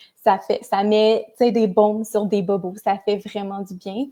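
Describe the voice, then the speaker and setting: In a Quebec accent, a woman speaks at a medium pitch with a dark, mellow tone. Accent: Québécois French. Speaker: psychosocial worker. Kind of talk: live stream chat. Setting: Facebook live.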